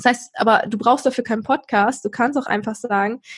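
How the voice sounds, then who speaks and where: A woman's high-pitched, animated voice with ordinary pitch variation at a fairly quick pace. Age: 20s. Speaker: podcaster and university student. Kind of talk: casual interview.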